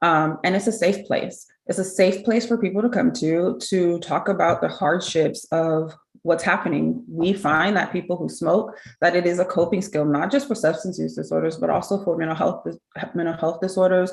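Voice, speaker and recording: Vocal fry marks this woman's speech. Her pitch sits fairly low. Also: ordinary pitch variation, moderate pace. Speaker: smoking cessation program presenter. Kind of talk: conference presentation.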